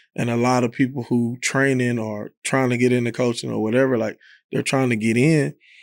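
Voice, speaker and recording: With an American accent, a man uses an unremarkable speaking voice at medium pitch, keeping fairly even intonation at a fairly quick pace. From Texas, South Dallas. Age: 30s. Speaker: college basketball coach. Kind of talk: podcast interview. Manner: casual, with frequent repetitions.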